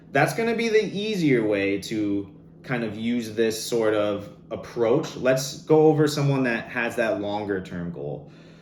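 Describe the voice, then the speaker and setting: Noticeable background noise and audible room echo surround the voice. The intonation is lively and the pace fairly slow. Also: man, medium pitch for a man. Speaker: fitness coach. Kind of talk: online masterclass. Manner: animated.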